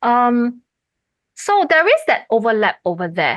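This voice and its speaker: A woman with an unremarkable speaking voice talks moderately fast, her intonation lively. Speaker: university lecturer. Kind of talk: lecture Q&A.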